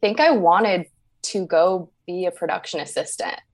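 Someone with an American accent and an unremarkable speaking voice talks at a moderate pace with ordinary pitch variation. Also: woman. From Northern Virginia, near Washington DC. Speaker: web and graphic designer. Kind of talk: casual interview chat.

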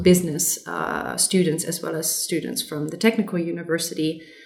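Over noticeable background noise, a woman with a fairly low pitch keeps a moderate pace and fairly even intonation. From Germany. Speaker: lead designer. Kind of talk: interview.

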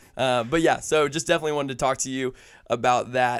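A man with an American accent speaks in a medium pitch. He talks at a very fast pace. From US South, Atlanta. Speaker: podcast host. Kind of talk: casual interview chat.

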